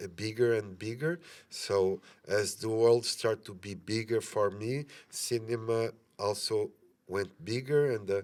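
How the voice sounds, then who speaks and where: A man with a Portuguese accent speaks at a fairly slow pace. His pitch is medium, with ordinary variation. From Portugal. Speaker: film director. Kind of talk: interview. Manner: halting, many fillers.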